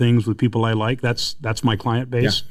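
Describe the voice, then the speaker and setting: This voice sits at a medium pitch. It belongs to a man. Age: 60s. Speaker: mortgage industry advisor. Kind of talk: podcast interview. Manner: animated.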